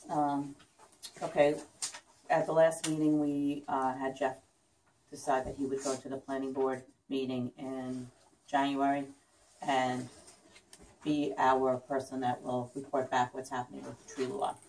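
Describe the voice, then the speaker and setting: A soft-spoken woman talks in a flat monotone at a very deep, low pitch, moving at a fairly slow pace with long, frequent pauses. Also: big swings in loudness. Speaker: village mayor chairing meeting. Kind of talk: public meeting, chairing agenda items. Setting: village board meeting room with public. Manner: hesitant, many fillers.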